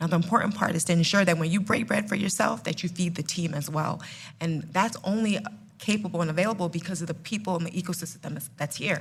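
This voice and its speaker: A woman with a New Jersey accent speaks in a fairly low, somewhat breathy voice with ordinary pitch variation. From New Jersey, Ghanaian family. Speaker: food company CEO. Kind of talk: live panel podcast. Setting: live event with audience.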